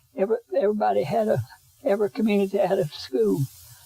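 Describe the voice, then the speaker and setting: Over music in the background, a man with an Appalachian accent speaks with a dry, close sound and no echo. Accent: Appalachian Southern US. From western North Carolina. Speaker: oral history interviewee. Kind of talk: interview.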